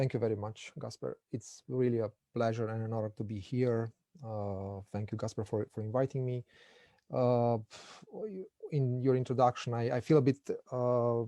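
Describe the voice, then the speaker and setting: A man with a Romanian accent speaks at a medium pitch in a dark, mellow tone, his intonation monotone and flat. He leaves long, frequent pauses, and the sound is dry and close with no echo. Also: moderate pace. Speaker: political science lecturer, guest speaker. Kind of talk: academic lecture. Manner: halting, many repetitions.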